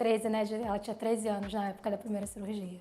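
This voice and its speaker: Noticeable background noise sits behind a woman who speaks very fast. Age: 30s. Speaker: plastic surgery patient. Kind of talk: testimony.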